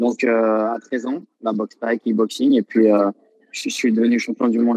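A man's medium-pitched, unremarkable speaking voice with fairly even intonation, dry and close with no echo. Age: 20s. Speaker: professional Thai boxer. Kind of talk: casual interview.

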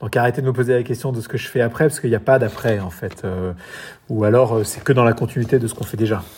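This man talks at a very fast pace in a medium pitch. His voice is somewhat breathy, with ordinary pitch variation. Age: 40s. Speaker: entrepreneur and amateur triathlete. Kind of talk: interview.

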